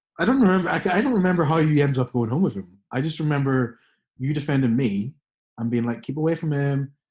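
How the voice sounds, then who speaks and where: With ordinary pitch variation, a man's somewhat breathy voice carries his words. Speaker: podcast co-host. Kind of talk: casual podcast conversation.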